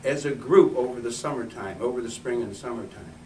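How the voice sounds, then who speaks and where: In a room with audible echo, a man speaks at a very fast pace with lively intonation. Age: 60s. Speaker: political candidate and activist. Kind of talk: campaign speech at meeting. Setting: meeting room with audience. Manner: halting.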